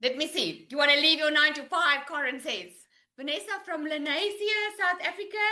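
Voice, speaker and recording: A raised, projected voice with a bright, sharp tone, lively intonation and a moderate pace. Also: woman. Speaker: online business coach. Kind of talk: live webinar sales pitch. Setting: live Zoom video call. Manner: animated.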